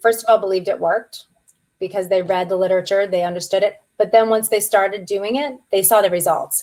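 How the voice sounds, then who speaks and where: Fairly quick speech from a woman against a quiet background. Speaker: practice management consultant; guest. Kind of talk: webinar Q and A. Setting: online webinar. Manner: animated. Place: home room.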